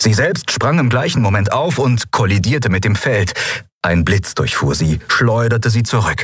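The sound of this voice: An unforced reading voice carries the text. Its pitch variation stays ordinary.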